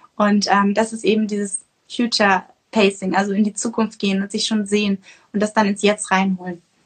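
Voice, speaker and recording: A somewhat breathy woman talks at a fairly quick pace and a medium pitch. Her intonation stays monotone and flat. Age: 20s. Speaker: nutrition coach and author. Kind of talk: interview. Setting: Instagram livestream.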